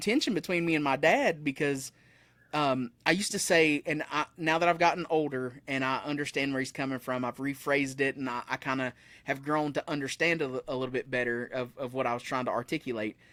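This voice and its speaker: A man with an Appalachian accent talks at a fairly quick pace with ordinary pitch variation. The very clean recording has a silent background and a dry, close sound with no echo. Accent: Southern US (Appalachian). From US South, Blue Ridge Mountains. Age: 30s. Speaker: musician. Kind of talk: casual chat. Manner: fast.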